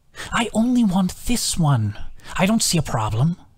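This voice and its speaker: Moderate speed and a middle pitch in a put-on character voice. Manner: annoyed, bothered, like haggling.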